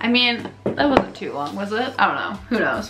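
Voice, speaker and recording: Speaking at a fairly quick pace, a woman with a fairly high pitch is heard over noticeable background noise and audible room echo. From Canada. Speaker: lifestyle vlogger. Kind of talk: casual vlog talk. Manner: chatty, filler-heavy.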